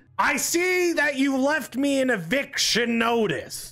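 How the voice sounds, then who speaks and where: Someone uses a put-on character voice, high in pitch and delivered at a very slow pace. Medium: game stream.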